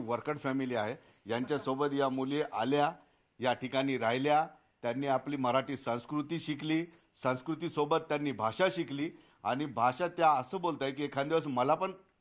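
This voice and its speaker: A man with an ordinary speaking voice, fairly high in pitch and with fairly even intonation, is heard in a very clean recording with a silent background. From Aurangabad, Maharashtra, India. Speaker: TV news reporter. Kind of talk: field report and interview.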